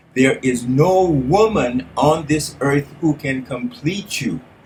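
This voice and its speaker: Somewhat breathy and fairly high-pitched, a man talks at a very slow pace with lively intonation. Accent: American. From California. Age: 70s. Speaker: life coach. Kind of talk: motivational talk. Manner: animated.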